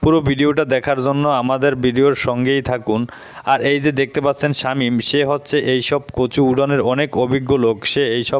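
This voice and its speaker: Loudness stays very even while the intonation is monotone and flat. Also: man, fairly high pitch for a man. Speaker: YouTube vlogger. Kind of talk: vlog narration.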